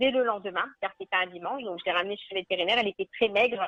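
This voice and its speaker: A woman's medium-pitched voice with ordinary pitch variation and a slight northern French accent. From northern France (Nord, Arleux). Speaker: animal welfare association founder. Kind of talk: radio interview.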